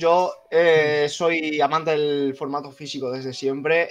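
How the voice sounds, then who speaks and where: A man's fairly high voice, flat and monotone in intonation. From Andalusia, Jaén province. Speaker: gamer, chat group admin. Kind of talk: casual chat. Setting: live stream.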